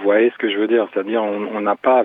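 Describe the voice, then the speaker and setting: A man's fairly low voice at a moderate pace, with monotone, flat intonation. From Cameroon. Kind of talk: casual chat. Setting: phone call.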